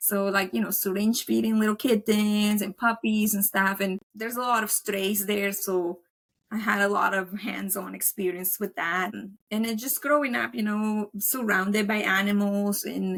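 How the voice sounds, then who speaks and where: A woman talks at a moderate pace with hardly any pauses. Her pitch is medium and her intonation fairly even. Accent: Colombian. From Colombia. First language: Spanish. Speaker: veterinary technician and dog trainer. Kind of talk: podcast interview. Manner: casual, filler-heavy.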